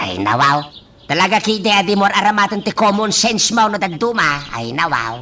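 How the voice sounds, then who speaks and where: A put-on character voice speaks at a middle pitch and a moderate pace. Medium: audio drama. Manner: exclamatory, repeats a stock exclamation.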